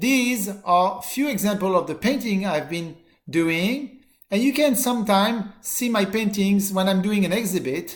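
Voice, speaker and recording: This man's voice sits high in pitch, with ordinary pitch variation and a fairly slow pace. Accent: French. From southern France (Marseille). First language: French. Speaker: college teacher. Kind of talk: course introduction video. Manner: halting.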